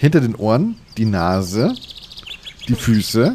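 A man speaks with a fairly low pitch and a slightly husky edge.

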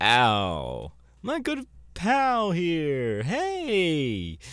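Putting on a character voice, a man speaks at a very slow pace with a clear, smooth, fairly bright tone and very wide pitch swings. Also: fairly high pitch for a man.

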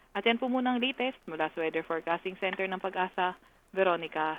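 Over noticeable background noise, a woman talks at a very fast pace, her medium pitch showing ordinary variation. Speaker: weather specialist. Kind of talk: weather report. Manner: formal; brisk, even, informative.

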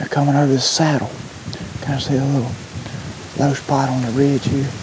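A man's voice, dry with no echo, against noticeable background noise. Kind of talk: hushed hunting commentary to camera. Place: forest.

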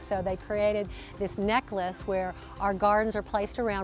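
Clear music plays behind a woman who speaks in a monotone, flat intonation, the sound dry with no echo. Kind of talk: interview answer. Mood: warm, proud. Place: garden.

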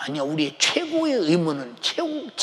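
A man delivers his words fairly slowly while loud background noise fills the recording. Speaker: pastor. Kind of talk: sermon. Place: church. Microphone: lapel.

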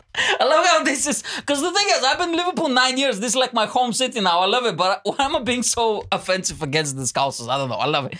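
Over a quiet background, a man speaks in a raised, projected voice at an extremely high pitch, with very wide pitch swings, a very fast pace and hardly any pauses. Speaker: comedy podcast host. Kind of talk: casual chat. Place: studio. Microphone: studio mic.

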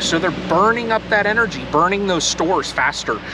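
Fairly quick delivery with ordinary pitch variation, dry and echo-free, over noticeable background noise. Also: man. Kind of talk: casual vlog chat. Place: garden. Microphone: camera far.

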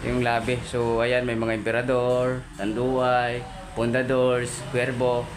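A man talks at a fairly slow pace, and noticeable background noise runs behind him. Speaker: vlogger. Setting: on location at a coffee lounge, filming on the go.

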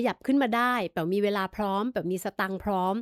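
A woman's unremarkable speaking voice at a medium pitch, with ordinary pitch variation, a dry, close sound with no echo, and a very clean recording against a silent background. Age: 50s. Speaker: podcast host and psychology student. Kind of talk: advice podcast answering listener letters.

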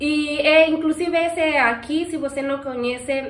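Audible room echo surrounds a woman with a non-native accent who speaks fairly slowly with fairly even intonation. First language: not Portuguese (speaking Portuguese). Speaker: pet channel host. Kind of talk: Q&A casual chat. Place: home room. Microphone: camera far.

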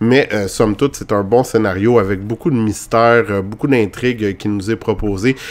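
Speaking in a Quebec accent, a man with a fairly low pitch keeps his intonation fairly even and leaves hardly any pauses. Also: moderate pace. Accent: Québécois French. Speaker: video game reviewer. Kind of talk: game review. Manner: hesitant with many fillers.

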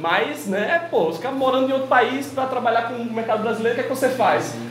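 A man is speaking. Light background noise and audible room echo surround him. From Maceió, Alagoas, Brazil. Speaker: publisher being interviewed. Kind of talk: interview answer. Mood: relaxed, smiling. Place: shop. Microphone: lapel.

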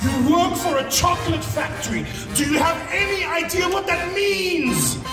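Clear music plays behind a man whose voice carries audible room echo. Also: moderate pace. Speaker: entertainer, actor, MC. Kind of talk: live stand-up comedy. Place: stage.

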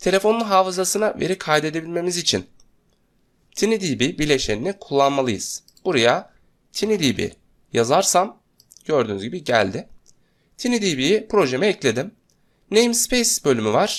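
A man with a high voice speaks through long, frequent pauses while his pitch swings very widely. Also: moderate pace. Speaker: software tutorial instructor. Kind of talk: screen-recorded tutorial.

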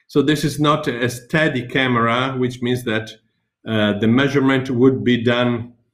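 Someone speaks with an Italian accent at a fairly slow pace. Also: man. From Italy. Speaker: teacher; webinar presenter, teacher. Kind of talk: webinar presentation; lecture. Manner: halting, many fillers.

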